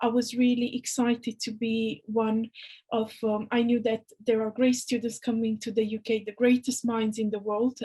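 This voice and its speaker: Speaking in a Romanian accent, a woman has a fairly high pitch and a dark, mellow tone, moving at a moderate pace with a monotone, flat intonation. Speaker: university employability officer. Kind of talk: interview. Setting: video call.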